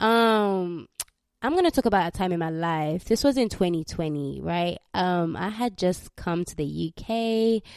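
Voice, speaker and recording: A woman with a Ugandan accent speaks at a fairly slow pace and fairly low pitch. Her intonation is lively, and the recording is very clean with a silent background. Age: 20s. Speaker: podcast host. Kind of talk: casual solo podcast monologue, testimony. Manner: casual, chatty.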